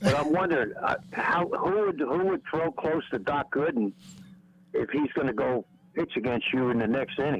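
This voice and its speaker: Fairly high male voice with lively intonation and very even loudness over noticeable background noise. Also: moderate pace. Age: 70s. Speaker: caller. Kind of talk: casual chat. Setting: phone call.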